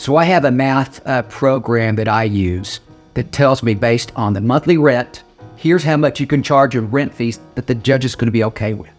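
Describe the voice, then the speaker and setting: Music plays in the background as a man talks at a moderate pace. His voice sits at a medium pitch with lively intonation. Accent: American. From Oklahoma, USA. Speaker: attorney. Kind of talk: casual informational talk to camera.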